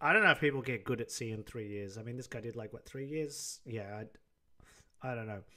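A man's bright, sharp tone at a very fast pace, with fairly even intonation over a quiet background. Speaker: streamer. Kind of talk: live stream reaction commentary. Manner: rambling, easily derailed. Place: home room. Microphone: studio mic.

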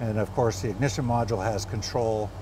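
Moderate pace amid noticeable background noise. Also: man. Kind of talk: tutorial. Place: workshop. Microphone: phone near.

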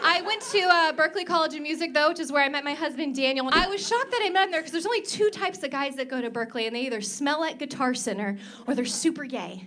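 A woman's raised, projected voice with an American accent, high in pitch with very wide pitch swings, at a very fast pace with hardly any pauses, over light background noise. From Oklahoma. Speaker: stand-up comedian. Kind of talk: stand-up. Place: stage. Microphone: handheld.

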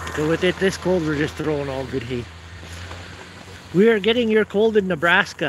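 Over faint background noise, a man speaks at a moderate pace with a fairly bright tone, fairly high pitch and ordinary pitch variation.

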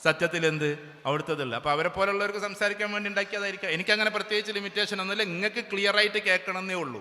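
The man's voice is raised and projected, high-pitched with ordinary pitch variation. Noticeable background noise is present. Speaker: motivational speaker. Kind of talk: public speech. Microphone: sound problem with speaker system.

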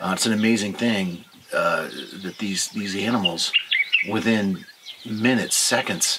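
Against noticeable background noise, a man talks at a moderate pace with a fairly low pitch and monotone, flat intonation. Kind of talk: casual storytelling to camera.

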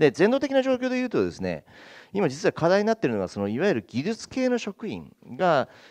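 A man with a high pitch, very wide pitch swings, and a fairly quick pace against a quiet background. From eastern Hokkaido, Japan. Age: 50s. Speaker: town mayor. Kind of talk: panel discussion. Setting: stage with audience. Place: hall. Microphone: handheld.

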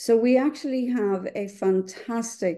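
A woman with a dark, mellow tone and ordinary pitch variation speaks over a quiet background. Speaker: webinar moderator. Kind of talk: webinar introduction. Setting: video call. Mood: warm, enthusiastic. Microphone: webcam.

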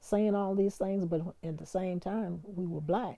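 Against a quiet background, a woman with an American accent talks at a medium pitch in a dark, mellow tone. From US South. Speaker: retired radio DJ; former radio DJ. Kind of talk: interview testimony. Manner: animated. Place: home room. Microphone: lapel.

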